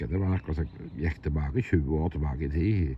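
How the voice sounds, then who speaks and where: With a very deep, low pitch, a dark, mellow tone and vocal fry, a man talks with ordinary pitch variation in a dry sound with no echo and light background noise. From Norway. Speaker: landowner commenting on a municipal complaint. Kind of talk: monologue commentary. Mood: frustrated, critical. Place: open country. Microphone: phone near.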